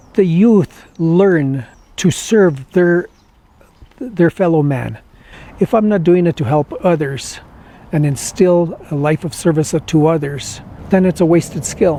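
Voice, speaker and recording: Speaking very slowly with long, frequent pauses, a man uses a high, dark, mellow voice with ordinary pitch variation. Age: 60s. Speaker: retired educator, award honoree. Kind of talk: personal testimony and acceptance speech. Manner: halting, unscripted.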